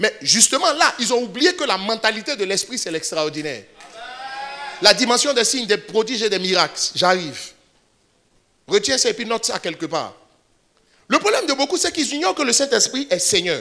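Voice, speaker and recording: This man's voice is high-pitched, raised and projected, with very wide pitch swings. He leaves long, frequent pauses. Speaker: pastor. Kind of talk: sermon. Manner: fast.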